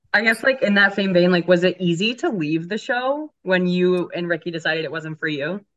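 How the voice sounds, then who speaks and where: A woman speaks in a plain, everyday voice at a medium pitch and a fairly quick pace, with lively intonation and hardly any pauses. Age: 20s. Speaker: podcast co-host. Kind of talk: casual chat. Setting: in a car.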